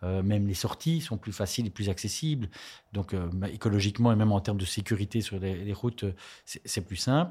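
On a very clean recording with a silent background, a man with a fairly low pitch and a dark, mellow tone sounds somewhat breathy, speaking at a fairly quick pace with ordinary pitch variation. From Belgium, Charleroi. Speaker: politician and lawyer. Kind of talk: interview.

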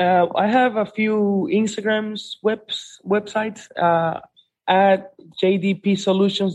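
Speaking with a Spanish accent, a man keeps a very slow pace. His pitch is high and his intonation fairly even. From Dominican Republic, Santiago. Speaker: relocation and tourism business owner. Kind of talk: interview.

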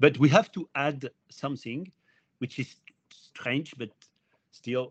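A man with a French accent and a fairly high voice speaks at a fairly slow pace, the sound dry and close with no echo. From France. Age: 50s. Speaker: historian. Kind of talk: interview. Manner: halting.

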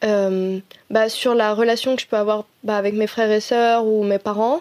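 An ordinary speaking voice moves at a moderate pace with a dry, close sound and no echo. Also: woman. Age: 20s. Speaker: design student. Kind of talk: personal testimony.

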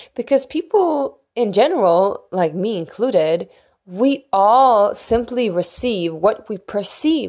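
Speaking very slowly with a Swedish accent, a woman uses a fairly high pitch and very wide pitch swings. The recording is very clean, its background silent. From Sweden. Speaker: spiritual podcast host. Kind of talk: solo monologue podcast. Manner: halting.

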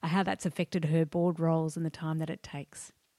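A woman talks in an Australian accent at a fairly quick pace. Her pitch is fairly low, and the recording is very clean with a silent background. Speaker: podcast host. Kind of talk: interview.

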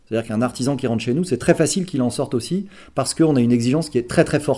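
A man with a medium pitch, a dark, mellow tone and lively intonation. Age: 40s. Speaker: startup founder. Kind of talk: interview. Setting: company office. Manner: hesitant, with frequent fillers.

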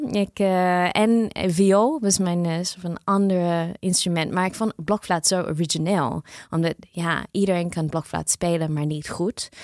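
A woman speaks at a fairly slow pace. Her voice is fairly low, with fairly even intonation. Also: very clean recording, silent background. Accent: non-native. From Australia. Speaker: music supervisor. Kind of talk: interview. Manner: halting, many fillers.

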